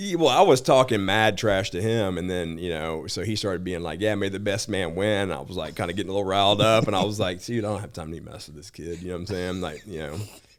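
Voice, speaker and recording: The speech runs at a very fast pace with hardly any pauses. Audible room echo surrounds it. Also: man, very deep, low pitch for a man, ordinary pitch variation. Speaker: bounty hunter. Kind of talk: casual chat. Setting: studio. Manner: casual, filler-heavy.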